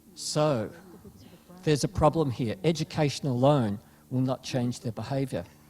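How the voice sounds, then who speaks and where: Speaking at a moderate pace with an Australian accent, a man has a fairly high, somewhat breathy voice and ordinary pitch variation. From Australia (Melbourne). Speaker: panelist, consumer behaviour researcher. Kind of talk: panel discussion.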